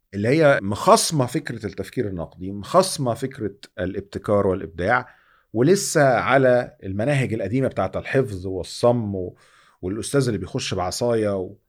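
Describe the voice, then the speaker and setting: A man speaks in a normal speaking voice at a medium pitch and a moderate pace, with lively intonation. The recording is very clean, with a silent background. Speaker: podcast host. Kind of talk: interview.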